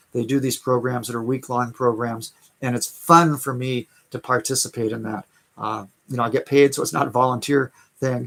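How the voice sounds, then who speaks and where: Here a man speaks with an American accent. His medium pitch follows fairly even intonation. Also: fairly quick pace. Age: 60s. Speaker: online business coach. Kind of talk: live stream sales talk. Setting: live stream. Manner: halting, many fillers and repeats.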